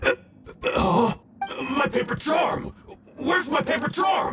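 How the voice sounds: A man shouting in a put-on character voice, extremely high-pitched and slow, bright and sharp in tone, with lively intonation and faint music in the background.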